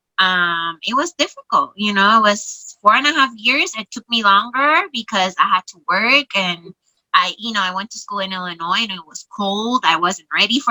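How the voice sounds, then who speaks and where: A woman with a Spanish accent at a moderate pace, the sound dry and close with no echo. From Puerto Rico. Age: 40s. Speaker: social worker. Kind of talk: interview testimony.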